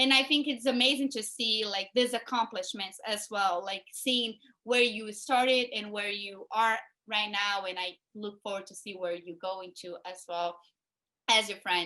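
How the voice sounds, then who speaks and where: A woman with a Portuguese accent, fairly high-pitched, at a fairly slow pace, with ordinary pitch variation and big swings in loudness. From Brazil (small town). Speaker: interview show host. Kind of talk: interview conversation. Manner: hesitant, many fillers and repetitions.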